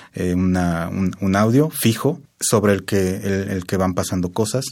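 A man's fairly low voice keeps a fairly even intonation on a very clean recording with a silent background. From Mexico, Querétaro. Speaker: composer. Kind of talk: interview. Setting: studio. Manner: halting.

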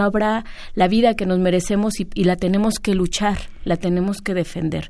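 Speaking at a fairly slow pace, a woman uses a medium-pitched voice with a dark, mellow tone. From Mexico, San Salvador Atenco. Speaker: land-rights activist. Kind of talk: radio interview.

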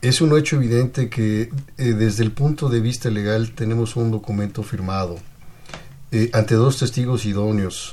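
Somewhat breathy and medium in pitch, a man talks with fairly even intonation. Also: moderate pace. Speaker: lawyer, legal adviser. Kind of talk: radio interview. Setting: radio studio. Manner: formal.

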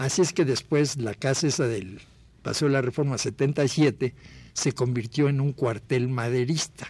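At a fairly slow pace, a man speaks in a somewhat breathy voice at a medium pitch. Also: ordinary pitch variation. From Mexico City. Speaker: photographer. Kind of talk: interview reminiscence.

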